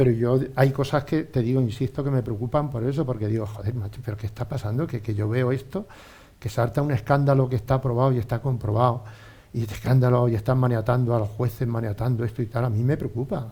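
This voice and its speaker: A man's very fast, somewhat breathy voice, dark and mellow in tone, at a medium pitch with fairly even intonation. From Spain, Albacete region (born Ontur). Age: 60s. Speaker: former pro cyclist and businessman. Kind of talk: casual interview chat. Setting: radio studio.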